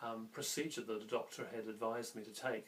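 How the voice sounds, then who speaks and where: A man with a New Zealand accent, at a moderate pace and with fairly even intonation. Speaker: health vlogger. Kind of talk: casual vlog talk to camera. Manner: halting, with fillers.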